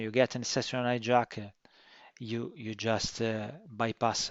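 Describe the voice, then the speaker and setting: A man with a strong non-native accent speaks in a monotone, flat intonation. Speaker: cybersecurity consultant and course instructor. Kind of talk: course introduction. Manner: slow and deliberate; halting, many fillers.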